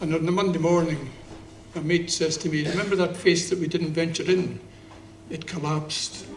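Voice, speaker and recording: With a Scottish accent and high pitch, a man speaks at a moderate pace in a monotone, flat intonation, leaving long, frequent pauses amid audible room echo. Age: 70s. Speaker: poet. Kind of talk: spoken-word performance with anecdotes. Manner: halting.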